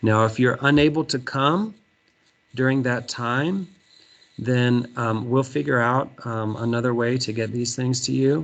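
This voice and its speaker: A man's normal speaking voice with an American accent, medium in pitch, fairly even in intonation, at a fairly slow pace. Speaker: third grade teacher. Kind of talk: virtual back to school night presentation. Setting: video call. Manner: many filler words.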